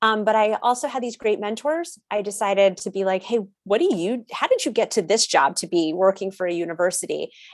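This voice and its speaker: Using a normal speaking voice with an American accent, a woman talks at a fairly quick pace with lively intonation and hardly any pauses. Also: medium pitch for a woman. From US Northeast, Connecticut. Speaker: college transition advisor. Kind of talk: interview.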